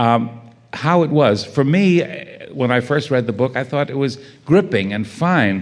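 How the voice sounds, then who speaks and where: A man's unremarkable speaking voice, fairly slow, with lively intonation. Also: medium pitch for a man. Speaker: panel moderator. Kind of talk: moderated literary panel discussion. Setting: stage with audience.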